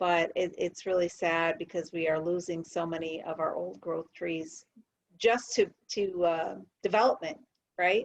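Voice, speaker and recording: In a normal speaking voice, a woman talks at a fairly slow pace with a fairly low pitch and fairly even intonation. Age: 60s. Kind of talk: casual chat.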